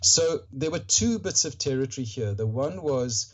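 A somewhat breathy man at a moderate pace. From Rhodesia (Zimbabwe), later Australia. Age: 60s. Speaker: author, mindfulness practitioner, veteran. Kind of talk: casual interview. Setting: remote call.

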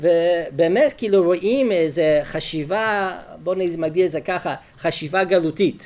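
Speaking very slowly in a non-native accent, a man uses a high pitch for a man, captured in a very clean recording with a silent background. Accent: foreign accent in Hebrew. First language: English (speaking Hebrew). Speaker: rabbi and lecturer. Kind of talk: lecture.

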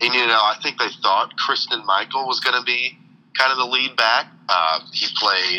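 A man talks at a moderate pace in a bright, sharp tone. Vocal fry runs through his voice. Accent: American. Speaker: sports fan guest. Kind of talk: casual chat. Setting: phone call. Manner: halting. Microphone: on speakerphone.

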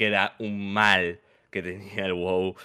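On a very clean recording with a silent background, a man speaks at a very deep, low pitch in a bright, sharp tone. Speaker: podcast co-host. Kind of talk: casual chat.

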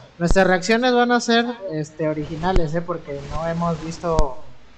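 Over noticeable background noise, a man speaks in a high pitch. His pace is moderate and his intonation lively. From Mexico, Veracruz (Amatlán de los Reyes, near Córdoba). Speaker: teacher, podcast co-host. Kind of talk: casual chat.

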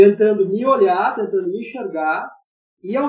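A man is speaking. His intonation is lively. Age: 50s. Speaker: filmmaker. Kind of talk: panel discussion.

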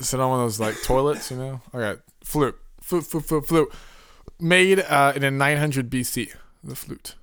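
This man has an ordinary speaking voice, fairly high in pitch. He talks at a moderate pace with ordinary pitch variation. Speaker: podcast co-host. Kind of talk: casual chat.

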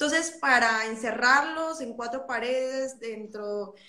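A woman with a high pitch and a bright, sharp tone speaks at a fairly slow pace amid audible room echo. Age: 20s. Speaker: psychologist and singer. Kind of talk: interview.

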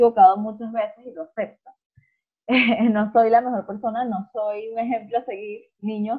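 A woman speaks at a fairly high pitch with a Venezuelan accent. Her voice is somewhat breathy. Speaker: podcast co-host. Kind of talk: casual chat.

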